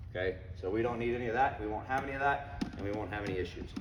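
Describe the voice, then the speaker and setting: Speaking at a very fast pace in a fairly low pitch, a man has an animated tone and vocal fry, with audible room echo. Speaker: head football coach. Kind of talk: parents meeting presentation. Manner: conversational, animated.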